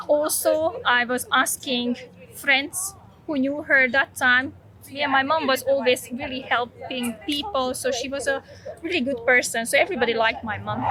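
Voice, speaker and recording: A woman with a Slovak accent uses a raised, projected voice at a high pitch with ordinary pitch variation. She keeps a moderate pace, and there is noticeable background noise. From Slovakia. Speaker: vlogger. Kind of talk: personal testimony.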